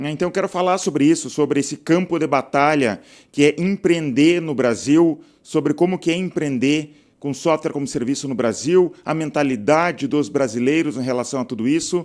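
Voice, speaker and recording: Recorded very cleanly against a silent background, a man with a plain, everyday voice speaks at a moderate pace, his pitch fairly high with ordinary variation. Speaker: software entrepreneur and channel host. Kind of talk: casual talking-head video monologue. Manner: conversational, frequent filler 'tá'.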